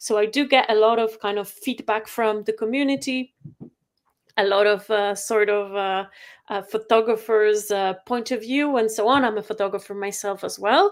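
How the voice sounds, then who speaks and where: This woman talks at a moderate pace in a Polish accent. Her voice is fairly high, with fairly even intonation. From Poland. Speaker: photography software company rep and photographer. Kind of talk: webinar presentation. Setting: video call webinar. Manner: halting, many fillers.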